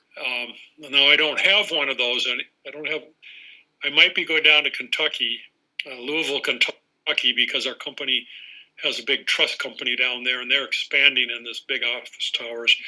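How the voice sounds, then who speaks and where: At a moderate pace, a man speaks in a bright, sharp tone, his pitch fairly high and his intonation fairly even. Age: 70s. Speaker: photographer. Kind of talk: casual chat. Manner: halting.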